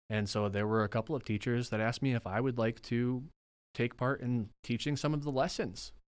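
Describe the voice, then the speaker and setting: A man speaks at a fairly quick pace with an American accent, in a plain, everyday voice at a medium pitch. His loudness stays very even, his intonation is fairly even, and the recording is very clean with a silent background. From northern Wisconsin (Rhinelander). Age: 20s. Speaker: religious studies graduate and Bible teacher. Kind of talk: casual interview.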